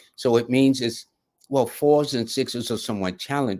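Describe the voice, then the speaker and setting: This is a man speaking. He has a New York accent. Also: very clean recording, silent background. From New York City. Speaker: numerologist, live show host. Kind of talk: live reading for viewers. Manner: fast; casual, conversational.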